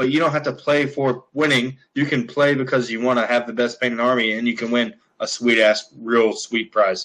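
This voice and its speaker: A moderate pace carries the speech. It comes in an American accent. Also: man, medium pitch for a man. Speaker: tabletop wargaming player. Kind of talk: casual chat. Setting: video call. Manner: animated.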